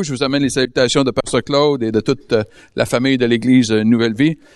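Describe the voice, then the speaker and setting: A man speaks with a Quebec accent. His pace is moderate. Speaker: guest preacher. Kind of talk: sermon. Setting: church service with audience.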